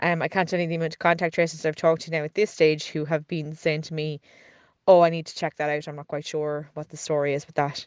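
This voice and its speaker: A woman with an Irish accent speaks very fast in a very deep, low voice, her intonation flat and monotone while her loudness swings widely. The sound is dry and close with no echo, over a quiet background. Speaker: podcast producer and co-host. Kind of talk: recorded voice note update. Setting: voice note recorded at home.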